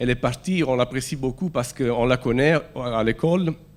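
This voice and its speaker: Speaking at a moderate pace, a man uses lively intonation in an Italian accent. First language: Italian (speaking French). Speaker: preacher. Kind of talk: sermon. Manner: halting.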